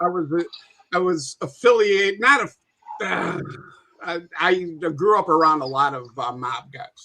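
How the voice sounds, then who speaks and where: A man with a Chicago accent talks at a fairly slow pace, leaving long, frequent pauses. His pitch is high, his intonation lively, and his loudness swings widely. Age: 60s. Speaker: guest on mafia history livestream. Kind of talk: casual chat.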